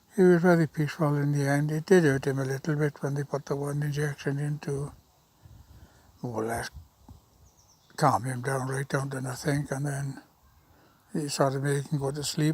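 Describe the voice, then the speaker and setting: Somewhat breathy speech at a moderate pace, with monotone, flat intonation and long, frequent pauses. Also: man, fairly high pitch for a man. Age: 70s. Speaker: vlogger. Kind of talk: casual monologue to camera. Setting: outdoors. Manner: halting.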